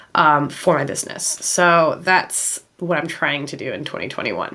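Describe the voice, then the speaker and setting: In an American accent, a voice comes through with noticeable background noise. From United States. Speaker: illustrator and artist vlogger. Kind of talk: casual vlog talk. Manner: casual, many fillers.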